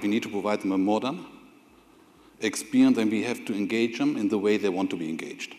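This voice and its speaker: Talking at a very fast pace, a man with a German accent has a fairly low-pitched voice. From Germany. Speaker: corporate IT executive. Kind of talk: on-stage interview; conference presentation.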